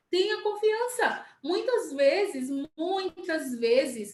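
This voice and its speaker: A woman speaks at a very slow pace. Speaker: sales team leader. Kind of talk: live stream talk. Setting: live video stream.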